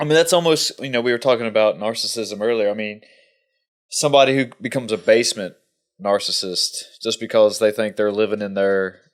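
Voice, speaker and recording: An unremarkable speaking voice, fairly quick, with ordinary pitch movement. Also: man, medium pitch for a man, very clean recording, silent background. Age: 30s. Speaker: podcast host. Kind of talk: podcast interview.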